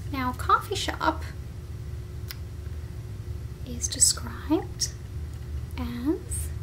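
A soft-spoken woman with a gentle tone over light background noise. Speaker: perfume reviewer. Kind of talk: casual review chat. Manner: soft-spoken, gentle ASMR voice. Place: home room. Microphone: webcam.

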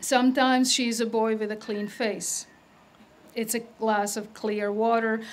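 A woman with a Croatian accent talks at a fairly slow pace with a fairly high pitch. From Croatia (Yugoslavia), Adriatic coast. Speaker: poet. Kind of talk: poetry reading. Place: stage. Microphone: podium.

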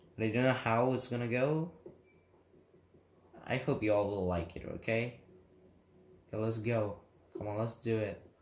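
With audible room echo, a man talks at a moderate pace with ordinary pitch variation and long, frequent pauses. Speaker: gamer. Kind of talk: casual gameplay commentary. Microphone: phone near.

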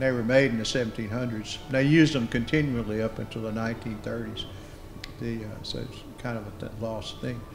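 In a Southern US accent, a man talks at a medium pitch with fairly even intonation while faint music plays in the background. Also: moderate pace. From Mississippi Delta. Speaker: anthropologist, moderator; moderator. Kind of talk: panel discussion. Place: meeting room.

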